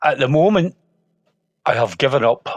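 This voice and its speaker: A man with a Scottish accent, lively intonation and a moderate pace, in a dry, close sound with no echo. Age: 60s. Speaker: sports photographer. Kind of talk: podcast interview. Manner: halting, many fillers and restarts.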